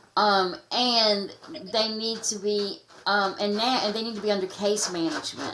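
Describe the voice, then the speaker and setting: A woman speaks at a moderate pace with an American accent. Her pitch is medium, and there is noticeable background noise. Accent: redneck. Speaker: anti-trafficking advocate. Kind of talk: podcast interview. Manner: halting.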